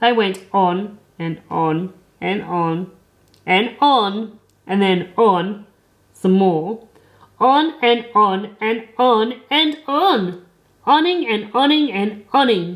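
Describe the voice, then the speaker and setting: Talking very slowly, a woman with a medium-pitched voice uses lively intonation. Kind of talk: children's comic storytelling. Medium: read story. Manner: cheeky, sarcastic.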